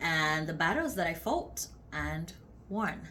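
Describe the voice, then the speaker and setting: A woman with a warm tone speaks at a very slow pace amid audible room echo. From Uganda. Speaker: faith vlogger. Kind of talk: testimony. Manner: warm conversational.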